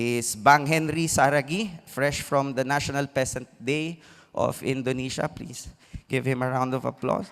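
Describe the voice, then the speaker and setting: A man speaks at a fairly slow pace in an ordinary speaking voice. His pitch is fairly high. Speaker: panel facilitator. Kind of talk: speaker introductions at a conference.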